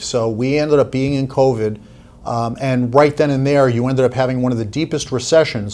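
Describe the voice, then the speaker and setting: Using an American accent, a man speaks at a medium pitch and a fairly quick pace, with fairly even intonation. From US, New York (Long Island). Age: 60s. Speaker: investment advisor. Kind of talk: podcast interview.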